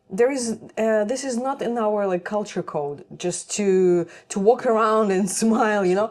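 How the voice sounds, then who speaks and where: A woman speaks at a fairly slow pace with hardly any pauses, in a Russian accent. Her pitch is fairly high and varies in an ordinary way. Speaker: nutrition content creator. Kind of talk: casual chat. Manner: halting.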